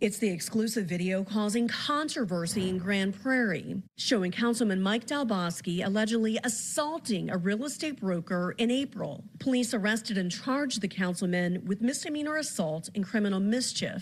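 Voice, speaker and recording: This woman sounds somewhat breathy at a medium pitch, and her loudness stays very even. She keeps a moderate pace with hardly any pauses and lively intonation. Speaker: television news reporter. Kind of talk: television news reporting, live standups and taped packages. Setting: outdoors on location. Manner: clear, authoritative news delivery.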